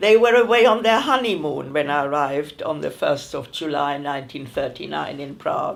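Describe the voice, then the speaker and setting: A woman speaks at a fairly slow pace with a German accent. Her intonation is lively. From Germany, Berlin. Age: 90s. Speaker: Kindertransport refugee. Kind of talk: oral history interview.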